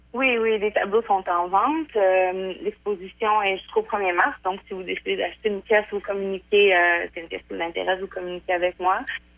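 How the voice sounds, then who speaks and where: This is a woman with an ordinary speaking voice at medium pitch. She talks at a fairly quick pace with ordinary pitch variation. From Quebec, Portneuf. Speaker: painter. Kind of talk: interview. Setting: phone call.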